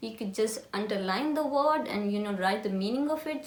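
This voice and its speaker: A woman with an Indian accent speaks at a moderate pace with lively intonation. Audible room echo and noticeable background noise are present. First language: Hindi. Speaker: lifestyle vlogger. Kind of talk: casual tutorial chat.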